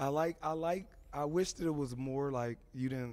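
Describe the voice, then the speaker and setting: Here a man has an unremarkable speaking voice, medium in pitch, with ordinary pitch variation. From US, Los Angeles. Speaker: dating show contestant. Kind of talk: dating show conversation.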